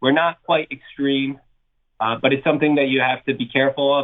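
Here is an unremarkable speaking voice from a man in an American accent. He talks at a moderate pace in a fairly high pitch. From US Northeast, New Jersey. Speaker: portfolio manager. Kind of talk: interview.

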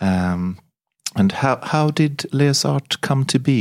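Speaking very slowly in a Swedish accent, a man's pitch swings very widely. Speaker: podcast host. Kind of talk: interview.

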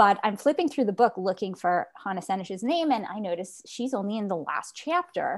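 Speaking at a moderate pace, a woman uses a fairly high pitch with very wide pitch swings. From Quebec, Canada. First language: Yiddish. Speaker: author. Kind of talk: interview.

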